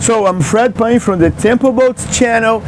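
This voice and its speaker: A man is talking, and background noise can be clearly heard. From Brazil. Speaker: boat reviewer. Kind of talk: product review. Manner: halting.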